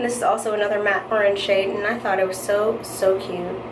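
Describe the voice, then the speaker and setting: Background noise is noticeable, and the room echo is audible. The pace is moderate. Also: woman. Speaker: beauty vlogger. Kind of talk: makeup tutorial. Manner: casual, chatty.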